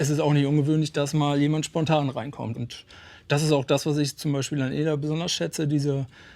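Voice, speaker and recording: A man's fairly high-pitched voice races along at a very fast pace. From northern Germany, Emsland (Low German region). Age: 40s. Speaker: company department head. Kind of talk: interview for company portrait video. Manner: hesitant, many fillers.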